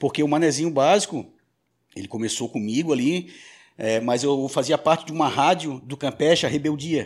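A man speaks in a plain, everyday voice at a moderate pace and fairly high pitch, with ordinary pitch variation. His loudness swings widely on a very clean recording with a silent background. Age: 40s. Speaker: radio and podcast producer. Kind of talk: casual chat.

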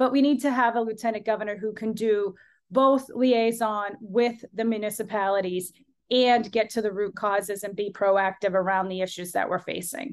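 In a plain, everyday voice with an American accent, the speaker talks at a moderate pace with fairly even intonation over a quiet background. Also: woman, fairly high pitch for a woman. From Massachusetts, Lowell. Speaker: politician. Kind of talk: interview.

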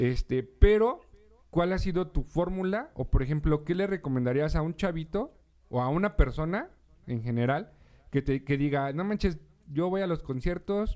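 A man talks with a dark, mellow tone. His pace is moderate and his pitch variation ordinary. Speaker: radio podcast host. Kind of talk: casual interview.

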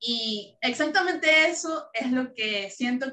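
A woman is speaking. Her tone is bright and sharp. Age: 20s. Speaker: founding member of a youth service club. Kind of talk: casual interview.

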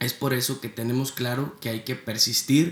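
A man delivers his words at a fairly slow pace in a somewhat breathy voice. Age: 20s. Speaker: podcast host, student entrepreneur. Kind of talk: motivational podcast intro monologue.

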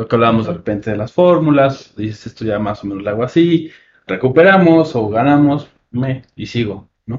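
The voice is somewhat breathy and its intonation is lively. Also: man. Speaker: film podcast host. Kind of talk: casual chat. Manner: soft-spoken.

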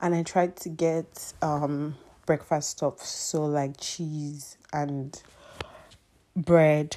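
A woman's voice sits very deep and low, with a dark, mellow tone. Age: 20s. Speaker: podcast host. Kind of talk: casual monologue. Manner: animated.

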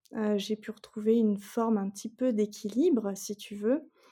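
Fairly high in pitch, this woman's voice has a dark, mellow tone. It is somewhat breathy, with fairly even intonation. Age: 30s. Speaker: guest sharing fertility journey. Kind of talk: testimony. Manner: hesitant, many fillers.

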